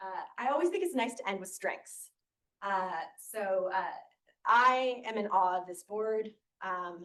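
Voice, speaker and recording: An ordinary speaking voice, fairly slow in pace, with ordinary pitch variation. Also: woman. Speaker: oversight board chair. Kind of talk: board meeting presentation.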